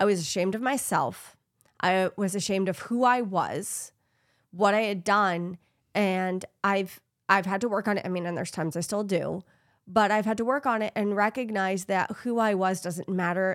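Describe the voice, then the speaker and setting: Delivery comes at a moderate pace in an unremarkable speaking voice. Intonation holds fairly even. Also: woman, medium pitch for a woman. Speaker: podcast host. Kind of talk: casual chat.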